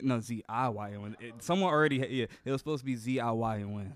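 The recording is very clean, with a silent background. A man talks in a medium pitch with ordinary pitch variation. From US Midwest (Gary, Indiana). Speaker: nursing assistant and small business owner. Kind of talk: casual chat.

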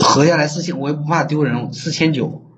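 Audible room echo surrounds a man who speaks at a moderate pace with a fairly high pitch. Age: 20s. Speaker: caller seeking advice, online salesman. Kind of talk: phone-in advice call. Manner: halting.

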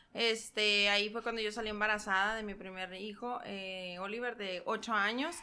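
With hardly any pauses, a woman speaks in a fairly high pitch and a bright, sharp tone. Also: moderate pace. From Mexico, San Luis Río Colorado, Sonora. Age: 20s. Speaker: entrepreneur, shop owner. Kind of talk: casual interview. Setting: ranch, on location.

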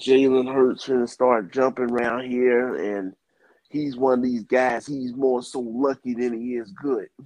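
This man speaks at a fairly slow pace, at a medium pitch, with monotone, flat intonation. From New Jersey, US. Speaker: sports podcast panelist. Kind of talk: casual sports talk. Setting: phone call.

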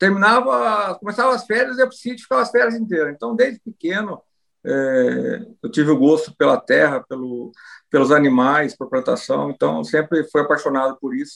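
The man's fairly high voice moves through very wide pitch swings at a moderate pace. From Brazil, Rio Claro, interior of São Paulo state. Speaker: cattle breeders' association president and rancher. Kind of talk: interview.

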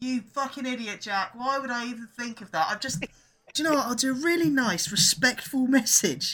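A raised, projected voice in an English accent has a bright, sharp tone. It moves at a fairly quick pace with ordinary pitch variation and big swings in loudness. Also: man, extremely high pitch for a man. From England. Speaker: podcast co-host. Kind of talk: casual chat.

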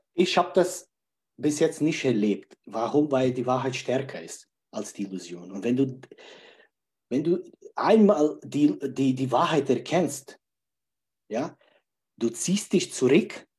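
A man speaks at a very slow pace with long, frequent pauses and big swings in loudness. His voice is fairly high, somewhat breathy and lively in intonation. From Czech Republic. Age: 40s. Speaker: life coach. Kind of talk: interview. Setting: livestream.

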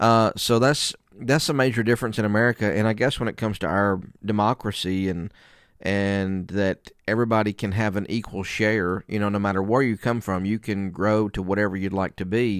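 Speaking at a fairly quick pace, a man with a Southern US accent has a fairly low pitch. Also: fairly even intonation, very clean recording, silent background. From US South (Alabama area). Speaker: podcast host, preacher. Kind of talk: casual interview.

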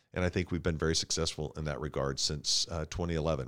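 A man talks with an American accent and vocal fry. The recording is very clean, with a silent background. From Tulsa, Oklahoma. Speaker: city councilor and foundation CEO. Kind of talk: interview. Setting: studio.

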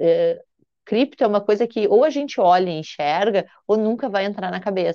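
Moderately paced speech in a dry, close sound with no echo. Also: woman. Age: 40s. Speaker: accountant and crypto tax specialist. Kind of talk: interview. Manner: halting, many repetitions and fillers.

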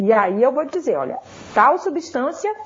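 This woman has a high pitch and a northeastern Brazilian accent, with very wide pitch swings. Noticeable background noise sits behind her. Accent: northeastern Brazilian (Ceará). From Ceará, Brazil. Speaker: pharmacology professor. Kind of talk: interview.

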